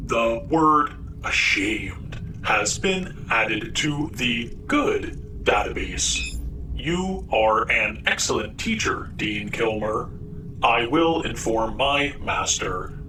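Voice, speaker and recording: Over loud background noise, a man speaks very slowly in a put-on character voice. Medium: read story. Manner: formal, stilted, literal.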